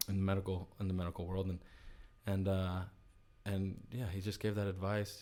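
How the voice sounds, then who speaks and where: A man with a Spanish accent speaks at a very deep, low pitch in a dark, mellow tone. His intonation is monotone and flat, and his pace fairly quick. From US, child of Chilean immigrants. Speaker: company CEO. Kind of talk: podcast interview. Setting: studio. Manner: casual, many filler words and repetitions.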